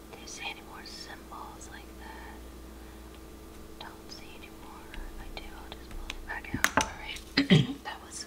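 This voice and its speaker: Loud background noise runs under speech at a moderate pace with long, frequent pauses. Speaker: ASMR creator. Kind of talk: ASMR craft narration. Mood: calm, relaxed.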